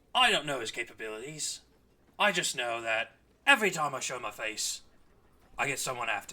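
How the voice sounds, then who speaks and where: Using a put-on character voice of medium pitch, a man speaks at a fairly quick pace with long, frequent pauses. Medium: actual play. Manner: gruff, clipped.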